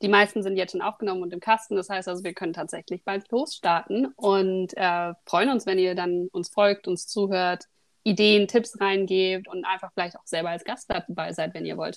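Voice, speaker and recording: A woman with an ordinary speaking voice talks at a moderate pace and medium pitch, with hardly any pauses and fairly even intonation. Her loudness swings widely on a very clean recording with a silent background. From Berlin, Germany. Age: 30s. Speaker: podcast co-host, doctoral researcher. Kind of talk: casual chat.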